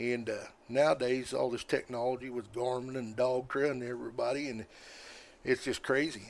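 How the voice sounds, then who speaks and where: A man with an American accent, medium in pitch and monotone, flat in intonation, at a fairly quick pace on a very clean recording with a silent background. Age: 60s. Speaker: squirrel dog hunter. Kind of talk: casual chat.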